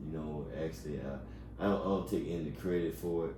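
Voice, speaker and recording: Audible room echo surrounds a man with a Southern US accent who speaks at a moderate pace in a very deep, low pitch. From Alabama, Montgomery. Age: 40s. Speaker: small business owner. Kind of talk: interview. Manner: halting, many fillers and repetitions.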